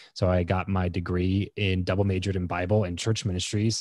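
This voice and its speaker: A man with an American accent, very deep and low-pitched, talking at a very fast pace. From Southern California (Lancaster, northern LA County). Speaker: entrepreneur and podcaster. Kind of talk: podcast interview. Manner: casual, many fillers and repetitions.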